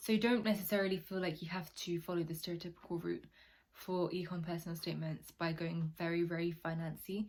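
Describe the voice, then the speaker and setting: A woman talks at a fairly quick pace with a British accent, her pitch fairly low. Her voice is somewhat breathy and her intonation monotone and flat. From UK, Nigerian heritage. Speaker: university applicant advice YouTuber. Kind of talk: casual advice vlog. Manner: casual, chatty.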